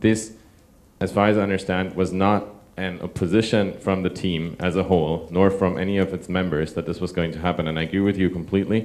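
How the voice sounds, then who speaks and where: In a very deep, low pitch, a man talks at a fairly quick pace with monotone, flat intonation. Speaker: software developer; audience member. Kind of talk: panel discussion. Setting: stage with audience. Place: hall. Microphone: handheld.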